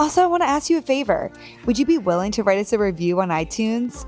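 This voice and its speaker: A woman speaks at a fairly quick pace in a warm, enthusiastic tone. Music plays in the background. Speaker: podcast host.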